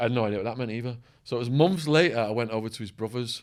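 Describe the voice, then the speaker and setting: A man with an English accent talks at a very fast pace. The recording is very clean, with a silent background. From England. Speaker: former stockbroker and ex-prisoner, author. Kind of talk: podcast interview storytelling. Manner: animated.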